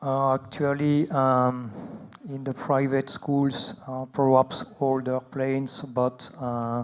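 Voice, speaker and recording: A man with a French accent, medium-pitched and monotone, very slow, over noticeable background noise. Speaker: aviation expert. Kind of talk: conference Q&A. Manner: halting.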